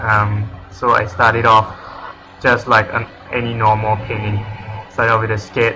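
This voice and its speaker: A man speaks with music in the background. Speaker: digital artist. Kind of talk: casual tutorial narration. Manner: hesitant, many fillers.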